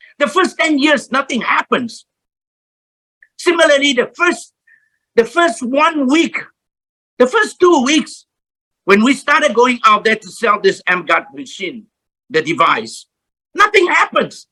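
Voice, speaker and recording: In a raised, projected voice, a man with an extremely high pitch and a bright, sharp tone speaks at a fairly slow pace, with very wide pitch swings and long, frequent pauses. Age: 70s. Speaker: motivational speaker. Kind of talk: motivational talk.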